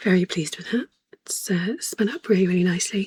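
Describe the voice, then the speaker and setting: The speaker has a British accent. The voice is quiet. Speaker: spinning vlogger. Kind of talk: casual vlog. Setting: at home at night. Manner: quiet, hesitant with ums.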